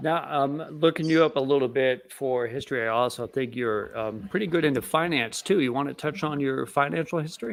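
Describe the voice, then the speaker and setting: At a fairly quick pace with hardly any pauses, a man talks in a normal speaking voice, fairly high-pitched for a male, with ordinary pitch variation. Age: 30s. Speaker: podcast host. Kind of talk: interview.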